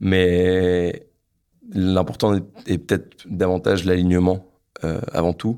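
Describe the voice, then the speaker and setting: The voice is a man's. It sits at a very deep, low pitch. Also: very clean recording, silent background. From northern France, Lille. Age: 20s. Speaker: engineer entrepreneur. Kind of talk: podcast interview, personal story. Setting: his office. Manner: halting, many repetitions and fillers.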